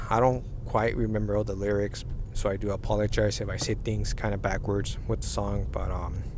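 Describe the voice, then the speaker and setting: Audible room echo around a man talking at a fairly quick pace. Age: 30s. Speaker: vlogger. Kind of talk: casual monologue rant. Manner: halting.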